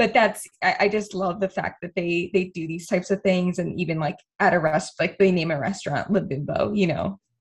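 A woman speaks at a moderate pace with a medium pitch and a somewhat breathy sound. Her intonation stays fairly even, and she hardly pauses at all. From Boston, US Northeast. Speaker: travel blogger, podcast co-host. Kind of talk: casual chat.

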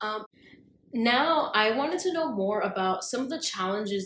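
A woman talks at a moderate speed. Behind her, background noise is noticeable. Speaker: podcast interviewer. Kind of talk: casual interview conversation.

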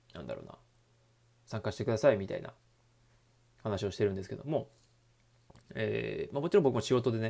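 Loudness swings widely as a man talks at a very fast pace broken by long, frequent pauses. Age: 30s. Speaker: personal trainer and youth baseball coach. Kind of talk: solo talk monologue. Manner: hesitant, many fillers.

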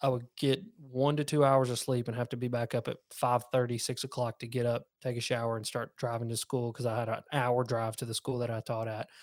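A man's flat, monotone delivery at a fairly quick pace, with hardly any pauses and a dry, close sound free of echo. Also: medium pitch for a man, very clean recording, silent background. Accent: Southern US. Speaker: fishing YouTuber. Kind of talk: casual interview chat.

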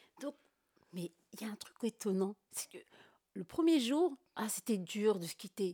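Her voice is dark, mellow, somewhat breathy and fairly high, with very wide pitch swings and big swings in loudness. The woman speaks at a fairly slow pace with long, frequent pauses, in a dry, close sound with no echo. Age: 30s. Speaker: podcast guest. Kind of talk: casual chat.

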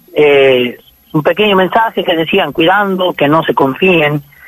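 The speaker is a man with a fairly high pitch. Noticeable background noise is present. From Formosa, northern Argentina. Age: 20s. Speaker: folk singer. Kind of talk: radio interview.

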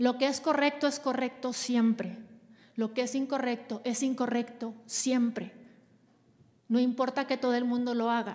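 A woman speaks in a high, flat monotone, leaving long and frequent pauses. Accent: Mexican. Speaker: leadership trainer and podcast host. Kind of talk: live workshop talk.

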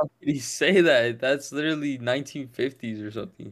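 Recorded very cleanly against a silent background, this is an ordinary speaking voice with an American accent, moving at a moderate pace with ordinary pitch variation. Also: man. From Las Vegas, US. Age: 20s. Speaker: football podcaster and content creator. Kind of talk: casual chat.

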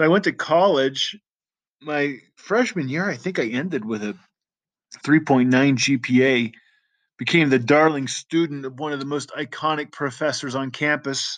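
An ordinary speaking voice with an American accent, at a moderate pace against a quiet background. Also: man. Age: 40s. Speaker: podcast host. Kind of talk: personal monologue. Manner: casual, frequent fillers.

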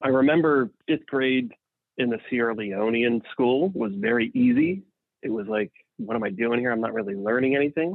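A man with an American accent speaks at a fairly quick pace in an ordinary speaking voice, his medium pitch showing ordinary variation. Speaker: family member recalling childhood. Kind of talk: casual chat.

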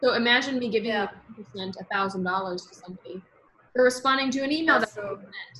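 A woman speaks in an American accent. Her intonation is lively. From United States. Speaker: podcast host, entrepreneur. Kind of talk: interview, casual chat.

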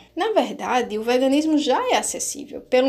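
Fairly quick, high-pitched woman's voice over noticeable background noise. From Brazil, Natal (Rio Grande do Norte). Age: 30s. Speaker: activist and vegan cook. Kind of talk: casual panel discussion.

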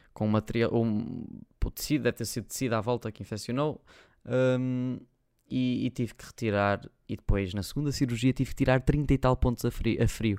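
The man's voice sits at a medium pitch with fairly even intonation. The sound is dry and close, with no echo. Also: moderate pace. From Portugal, Porto. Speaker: YouTuber and podcast host. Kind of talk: casual solo chat.

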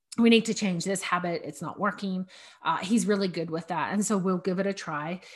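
Fairly quick speech from a woman with a medium pitch, a somewhat breathy voice and fairly even intonation. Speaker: podcast host on decluttering and minimalism. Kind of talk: casual solo monologue. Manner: even, level delivery; chatty with many fillers.

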